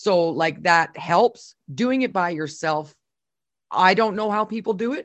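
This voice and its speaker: Speaking fairly slowly in an ordinary speaking voice, a woman uses lively intonation at a medium pitch. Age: 40s. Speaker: podcast co-host, former radio host. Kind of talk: casual chat.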